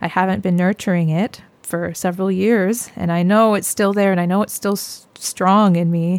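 A woman with a Canadian accent speaks at a medium pitch and moderate pace with hardly any pauses, her intonation monotone and flat, on a very clean recording with a silent background. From Canada, British Columbia (Sunshine Coast). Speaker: music researcher and fiddle musician. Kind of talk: casual interview.

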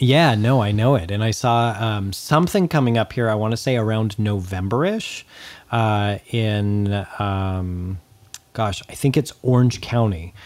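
A man speaks at a fairly slow pace in a fairly low pitch. His is an unremarkable speaking voice with ordinary pitch variation. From Southern California, Antelope Valley. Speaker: punk music podcast co-host. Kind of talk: casual chat.

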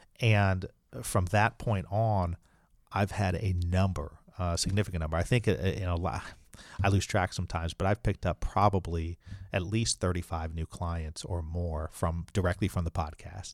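A man with a Midwestern US accent and a very deep, low pitch, moderate pace and fairly even intonation, in a dry, close sound with no echo and a very clean recording with a silent background. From Indianapolis, US Midwest. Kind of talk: interview conversation.

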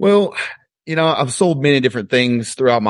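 Fairly quick delivery in a Southern US accent, with ordinary pitch variation. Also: man. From Alabama, US South. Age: 30s. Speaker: fitness coach and real estate agent. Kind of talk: interview.

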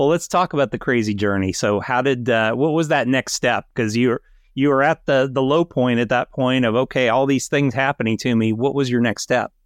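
In a dry, close recording with no echo, a man with an unremarkable speaking voice talks at a medium pitch with ordinary pitch variation and hardly any pauses. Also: fairly quick pace. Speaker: podcast host. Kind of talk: interview intro and casual chat.

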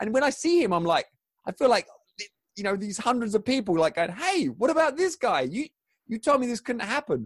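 Fairly quick and extremely high for a man, this voice with a southern English accent swings very widely in pitch, with a dry, close sound and no echo. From southern England, Crawley. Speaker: former athlete, author and speaker. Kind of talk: interview conversation.

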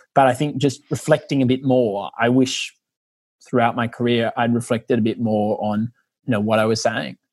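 On a very clean recording with a silent background, a man with an Australian accent talks at a moderate pace in a medium-pitched voice with fairly even intonation. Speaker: lawyer and researcher. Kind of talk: interview.

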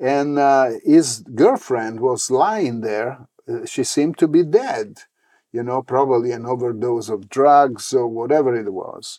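A man with an Italian accent speaks fairly slowly in a dark, mellow tone at a medium pitch, with ordinary pitch variation and a quiet background. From Italy, Rome. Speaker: religious leader. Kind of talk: interview. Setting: temple.

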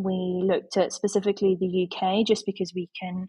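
In a Yorkshire accent, a woman speaks with monotone, flat intonation at a medium pitch. Her somewhat breathy voice sounds dry and close with no echo. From Yorkshire, England. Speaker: photography educator. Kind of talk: interview conversation.

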